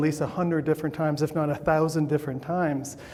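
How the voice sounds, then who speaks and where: Audible room echo and noticeable background noise surround a man speaking with monotone, flat intonation. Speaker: scientist speaking at a conference. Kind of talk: conference talk. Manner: halting, with repetitions.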